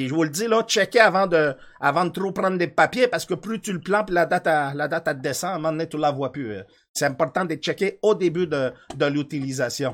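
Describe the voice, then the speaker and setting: In a very clean recording with a silent background, a man talks fairly quickly in an animated tone with lively intonation. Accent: Quebec. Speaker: live streamer. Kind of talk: casual live-stream chat. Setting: studio.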